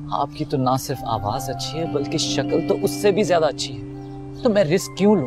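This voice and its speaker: A man at a fairly slow pace over clear music in the background. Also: dry sound with no echo. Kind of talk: scripted drama dialogue, flirtatious. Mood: charming, persuasive. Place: garden.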